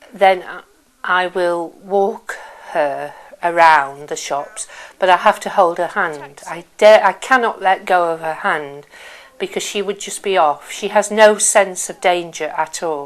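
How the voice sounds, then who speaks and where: A woman speaks at a fairly slow pace with ordinary pitch variation. Her loudness swings widely. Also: medium pitch for a woman. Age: 50s. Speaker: family carer. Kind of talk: interview testimony. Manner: hesitant, with fillers.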